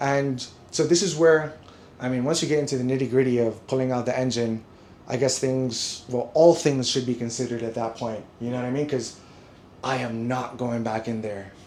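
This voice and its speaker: A man talks at a moderate pace while audible room echo and noticeable background noise fill the recording. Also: medium pitch for a man, fairly even intonation. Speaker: car vlogger rebuilding his own car. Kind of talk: casual chat. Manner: stuttering when agitated.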